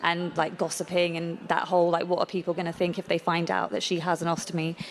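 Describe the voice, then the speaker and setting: A woman speaks with a British accent. She talks at a fairly quick pace. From Britain. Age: young. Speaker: patient advocate. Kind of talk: personal testimony at a conference.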